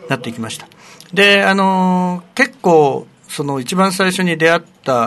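Here a man is talking. He has an unremarkable speaking voice. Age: 60s. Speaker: retired primary school teacher. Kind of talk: radio interview.

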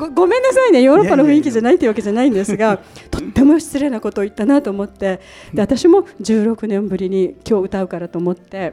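Against noticeable background noise, a woman talks at a very fast pace, her fairly high pitch making very wide swings. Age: 60s. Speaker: radio show host. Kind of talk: casual radio talk. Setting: public recording with audience.

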